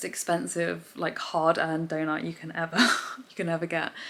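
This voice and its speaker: A woman with an English accent talks at a fairly quick pace. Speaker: vlogger and amateur athlete. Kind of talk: casual vlog. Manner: fast; animated.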